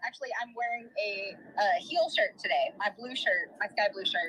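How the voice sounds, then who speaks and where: A woman's raised, projected voice, pitched high, moves through very wide pitch swings at a moderate pace. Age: 30s. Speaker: caller. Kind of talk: casual chat.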